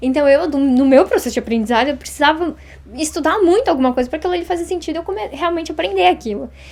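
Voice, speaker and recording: Over noticeable background noise, a woman talks very fast in a high voice with lively intonation. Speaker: Japanese language teacher. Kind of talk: interview.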